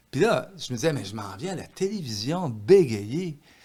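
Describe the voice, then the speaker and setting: In a Quebec accent, a somewhat breathy man with a fairly high pitch speaks at a moderate pace with very wide pitch swings. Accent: Québécois French. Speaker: author. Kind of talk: podcast interview. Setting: studio with microphone. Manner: slight stutter, rarely noticeable.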